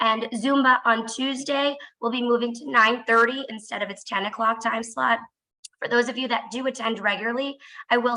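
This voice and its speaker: A loud woman's voice keeps a moderate pace and fairly even intonation. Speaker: fitness and activities staff. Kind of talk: announcements. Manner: trying to speak loudly.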